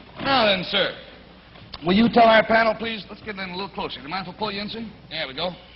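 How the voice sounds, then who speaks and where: A high-pitched man at a very fast pace, with big swings in loudness, long, frequent pauses and noticeable background noise. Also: ordinary pitch variation. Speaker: TV game show host. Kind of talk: TV game show hosting.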